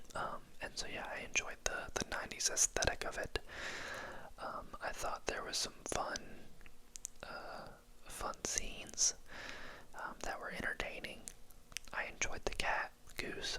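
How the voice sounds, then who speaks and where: A man whispers at a fairly slow pace, with long, frequent pauses. Background noise is noticeable. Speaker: ASMR movie reviewer. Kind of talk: movie review talking to camera. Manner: whispered, soft-spoken.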